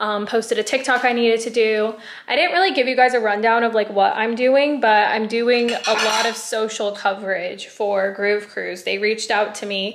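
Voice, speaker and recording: A woman's fairly even voice at a moderate pace, hardly any pauses, light background noise behind her. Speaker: vlogger. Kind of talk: casual vlog chat. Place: home room. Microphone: phone near.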